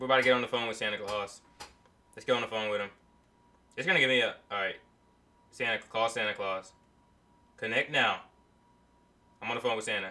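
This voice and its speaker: The delivery comes at a very fast pace. Intonation stays fairly even. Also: man. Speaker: livestreamer. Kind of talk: casual livestream chat. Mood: joking, amused. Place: home room. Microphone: camera far.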